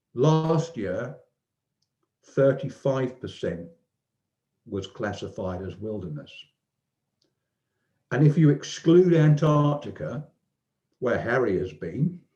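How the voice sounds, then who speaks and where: A man's dark, mellow, somewhat breathy voice at a very slow pace, with long, frequent pauses, very wide pitch swings and big swings in loudness. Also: medium pitch for a man. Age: 60s. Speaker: online discussion group participant. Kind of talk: casual chat. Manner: halting.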